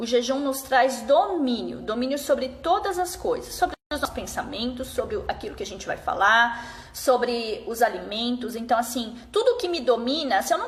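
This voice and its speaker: A woman with a high voice speaks at a moderate pace with very wide pitch swings over noticeable background noise. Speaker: fasting and nutrition consultant. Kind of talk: live stream talk. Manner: casual.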